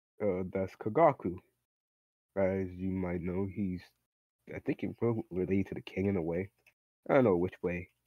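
This man's voice sits very deep and low, at a moderate pace broken by long, frequent pauses. The audio is dry, with no echo. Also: quiet background. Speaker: tabletop game player. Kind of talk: casual roleplay banter. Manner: animated. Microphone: video call.

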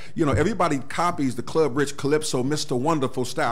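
A man speaks with an American accent. His pitch variation is ordinary. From US Midwest, Cleveland, Ohio. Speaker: pastor and entrepreneur. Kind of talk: interview. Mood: upbeat, proud. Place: studio. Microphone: studio mic.

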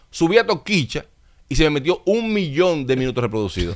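A man talks at a fairly quick pace, his pitch swinging very widely. The background is quiet. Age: 30s. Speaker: TV and radio host; radio guest. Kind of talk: interview. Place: studio. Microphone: studio mic.

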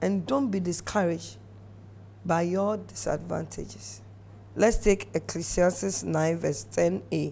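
Vocal fry runs through this woman's fairly low, dark, mellow voice. She speaks at a very slow pace with very wide pitch swings. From Ghana. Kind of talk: exhortation. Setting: studio. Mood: earnest, encouraging. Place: studio. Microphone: lapel.

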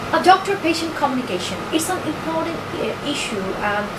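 A woman is speaking. Loud background noise runs underneath. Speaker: PhD student presenting research proposal. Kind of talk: academic presentation. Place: meeting room.

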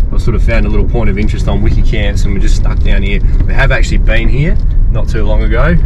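A man talks at a very fast pace against loud background noise. The sound is dry, with no echo. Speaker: travel vlogger driving. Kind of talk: casual vlog chat. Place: car. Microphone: phone near.

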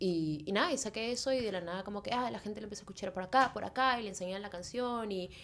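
A woman's very fast speech with ordinary pitch variation over light background noise. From Peru, Lima; Peru. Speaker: musician; podcast guest. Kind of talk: casual chat. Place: studio. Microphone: studio mic.

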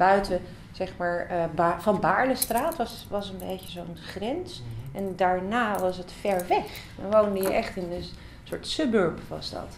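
At a very slow pace, a woman speaks at medium pitch with ordinary pitch variation and big swings in loudness. Audible room echo and light background noise are present. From Amsterdam, Netherlands; Netherlands. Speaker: interviewee. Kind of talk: interview. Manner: halting, many fillers. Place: studio.

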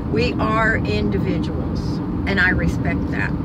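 A woman's voice in a dry sound with no echo, amid loud background noise. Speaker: vlogger. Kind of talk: casual vlog chat. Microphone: phone near.

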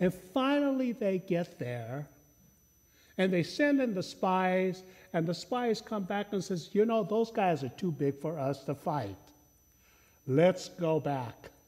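With long, frequent pauses, a man speaks at a very slow pace, his pitch swinging very widely. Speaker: pastor. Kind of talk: sermon. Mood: humorous storytelling. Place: church. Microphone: lapel.

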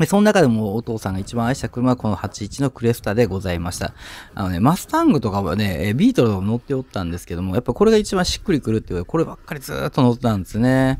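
Lively in his intonation, a man talks at a very fast pace. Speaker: used car dealer and mechanic. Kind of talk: casual video narration.

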